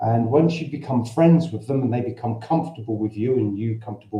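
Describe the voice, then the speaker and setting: A man with a dark, mellow tone and somewhat breathy voice talks at a fairly quick pace at medium pitch. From London, Cockney. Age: 60s. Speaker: expat vlogger. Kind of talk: livestream Q&A. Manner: halting. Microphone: camera's built-in mic.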